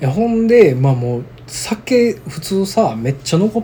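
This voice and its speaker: Against noticeable background noise, a man with a Kansai accent speaks fairly high for a man, his voice making very wide pitch swings. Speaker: podcast co-host. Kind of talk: casual chat.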